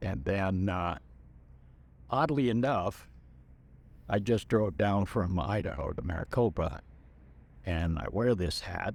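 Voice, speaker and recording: Speaking fairly slowly, a man with fairly low pitch and vocal fry uses lively intonation. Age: 70s. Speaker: war veteran. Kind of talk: interview. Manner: halting.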